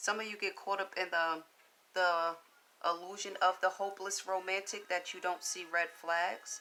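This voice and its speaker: At a moderate pace, a woman talks in a bright, sharp tone at medium pitch with monotone, flat intonation. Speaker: tarot reader. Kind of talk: tarot reading. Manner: casual.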